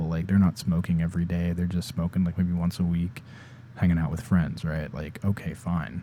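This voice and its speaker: The man's voice is very deep and low, with a dark, mellow tone. He talks at a fairly quick pace with fairly even intonation. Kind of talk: unscripted ASMR ramble. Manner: casual, rambling.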